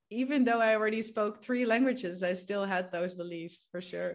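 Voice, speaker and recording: A woman talks at a moderate pace in a Dutch accent. The background is quiet. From Netherlands. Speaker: language coach. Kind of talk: casual interview.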